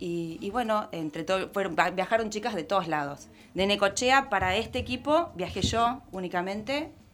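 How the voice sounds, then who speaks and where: A woman with a normal speaking voice talks at a medium pitch with lively intonation. She takes hardly any pauses. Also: moderate pace. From Argentina, Córdoba. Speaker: hockey player. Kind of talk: interview.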